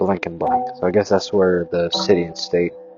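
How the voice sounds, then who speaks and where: Behind him, music is playing. The man's delivery keeps a moderate speed. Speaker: reaction video creator. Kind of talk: casual reaction commentary. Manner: loud.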